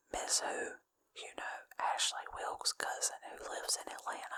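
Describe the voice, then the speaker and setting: Whispering in a breathy voice with a gentle tone, a woman speaks at a fairly slow pace. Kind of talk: ASMR book reading. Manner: whispered, gentle, breathy.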